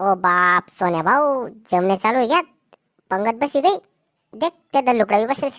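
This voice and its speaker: In a cartoonish character voice with a fairly high pitch, a woman speaks at a moderate pace in a dry, close sound with no echo. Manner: loud, rustic, teasing.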